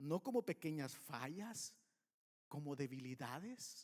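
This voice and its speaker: Very slowly, a man with a fairly high pitch speaks in very wide pitch swings, the sound dry and close with no echo. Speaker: pastor. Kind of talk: sermon.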